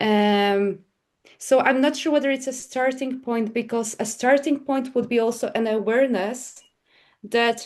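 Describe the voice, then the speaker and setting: A woman speaks with a Polish accent at a moderate pace. Her pitch is fairly high and her intonation fairly even. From Poland. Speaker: psychic medium. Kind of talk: podcast interview.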